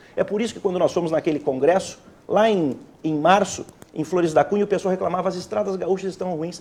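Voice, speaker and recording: Pitched high, a man's voice races along at a very fast pace. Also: ordinary pitch variation. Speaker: state politician. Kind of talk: heated debate.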